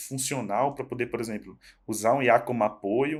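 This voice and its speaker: A man speaks at a moderate pace with ordinary pitch variation, recorded very cleanly against a silent background. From Northeast Brazil. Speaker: tech professional guest. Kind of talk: casual podcast chat. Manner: halting, many repetitions.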